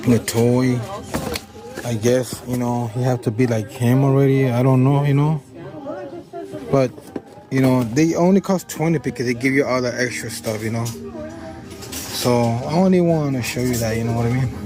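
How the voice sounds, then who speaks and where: Music plays in the background as a medium-pitched man speaks at a moderate pace. He takes long, frequent pauses, with ordinary pitch variation. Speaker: shopping vlogger. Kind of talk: casual shop-along vlog.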